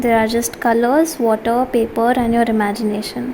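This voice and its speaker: A woman's gentle tone, high in pitch and fairly quick, with fairly even intonation over noticeable background noise. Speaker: art teacher. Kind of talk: tutorial.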